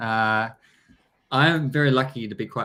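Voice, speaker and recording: A man's bright, sharp tone with a strong New Zealand accent, ordinary pitch variation and a moderate pace, in a very clean recording with a silent background. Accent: thick New Zealand. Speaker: blockchain business development executive. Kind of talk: interview. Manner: hesitant, many fillers.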